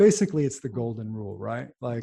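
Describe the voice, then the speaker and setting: A somewhat breathy man with an American accent and a dark, mellow tone. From New York / New Jersey area. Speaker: neurologist and pharmaceutical company founder. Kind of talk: interview.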